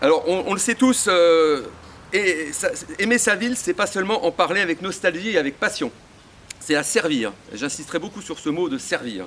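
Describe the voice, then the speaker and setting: There is noticeable background noise as a man speaks at a moderate pace with long, frequent pauses. His pitch is high. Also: lively intonation. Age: 60s. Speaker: local association president supporting a candidate. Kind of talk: political campaign speech. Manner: hesitant, many fillers and repetitions.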